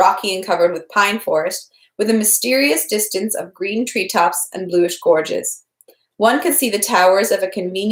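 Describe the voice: The background stays quiet as the reading aloud goes on plainly.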